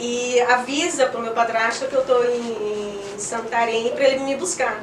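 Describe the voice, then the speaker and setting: There is noticeable background noise and audible room echo. Over it, a woman speaks with a high pitch. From Northeast Brazil, Parnaíba, Piauí. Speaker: lawyer. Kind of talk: interview testimony. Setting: studio.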